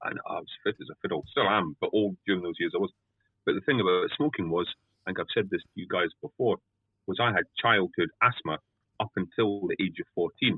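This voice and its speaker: Fairly quick speech from a man with a Scottish accent. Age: 50s. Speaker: guest interviewer. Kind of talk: casual interview.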